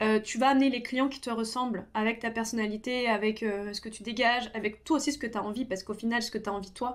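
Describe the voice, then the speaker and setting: The speech runs at a very fast pace with hardly any pauses and fairly even intonation. The recording is very clean, with a silent background. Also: woman. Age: 30s. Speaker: makeup artist, beauty youtuber. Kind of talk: casual tutorial talk while doing own makeup. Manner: hesitant, many fillers (euh).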